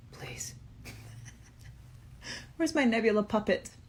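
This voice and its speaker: Somewhat breathy, a woman speaks with a fairly high pitch and lively intonation. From Inverness, Scottish Highlands. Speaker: actress and film director. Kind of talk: casual talk to camera. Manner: hyper, fast.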